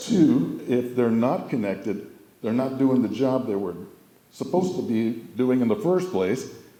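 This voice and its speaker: A man speaks at a medium pitch with very wide pitch swings, audible room echo and noticeable background noise. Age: 70s. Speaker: family member giving a memorial speech. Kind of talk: humorous memorial speech.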